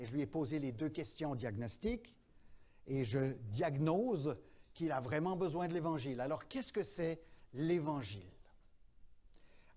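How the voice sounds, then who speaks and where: A man's dark, mellow tone at a fairly high pitch, with very wide pitch swings. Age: 70s. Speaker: pastor. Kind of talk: teaching workshop in church.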